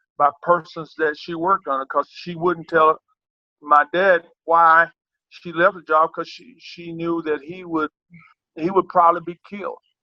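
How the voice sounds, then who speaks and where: This man has a Southern US accent, a high pitch and a bright, sharp tone, heard in a dry, close sound with no echo. He talks at a moderate pace in a monotone, flat intonation, with big swings in loudness. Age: 60s. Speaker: track and field coach. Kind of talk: interview. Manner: halting, many repetitions.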